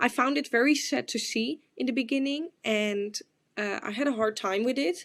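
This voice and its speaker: On a very clean recording with a silent background, a woman with a Dutch accent speaks in a high pitch with lively intonation at a moderate pace. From Netherlands. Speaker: exchange student. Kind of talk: class presentation. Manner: hesitant, with filler words.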